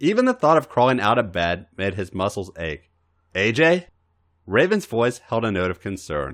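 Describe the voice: Plain reading aloud comes through with a quiet background behind it.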